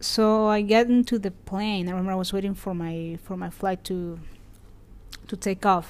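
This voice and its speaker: Fairly even intonation in a Spanish accent. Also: woman, medium pitch for a woman. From Venezuela. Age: 20s. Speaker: hotelier and podcast host. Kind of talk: personal storytelling monologue. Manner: fast; hesitant, many fillers.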